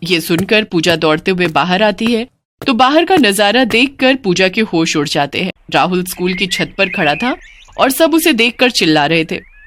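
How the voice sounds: A woman at a medium pitch and moderate pace, with a fairly bright tone and few pauses. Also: lively intonation.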